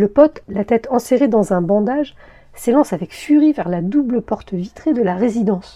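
In a normal speaking voice, a woman talks at a moderate pace with lively intonation and a fairly high pitch. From Paris region, France. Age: 50s. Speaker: podcast author and narrator. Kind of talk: scripted narration.

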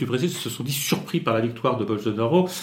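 A man's voice at medium pitch with ordinary pitch variation. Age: 60s. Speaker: Brazil expert and communication consultant. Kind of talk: interview. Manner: halting with frequent hesitations.

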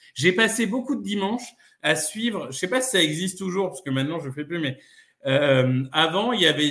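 Bright and sharp in tone, a man's high-pitched voice carries lively intonation. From northern France (Amiens). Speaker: football podcaster and fan. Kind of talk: casual chat.

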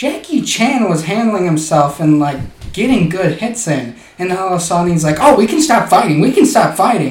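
A man with a high voice swings his pitch very widely over noticeable background noise. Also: moderate pace. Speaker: podcast co-host. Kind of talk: casual comedic banter.

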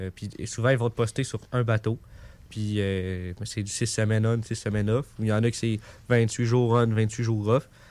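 A man with an ordinary speaking voice of medium pitch talks at a fairly slow pace with fairly even intonation on a very clean recording with a silent background. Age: 20s. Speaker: sailor. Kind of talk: storytelling in radio chat. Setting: radio studio.

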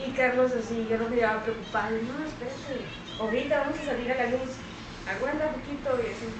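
Through noticeable background noise, a woman speaks very fast in a high pitch with fairly even intonation. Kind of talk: casual chat.

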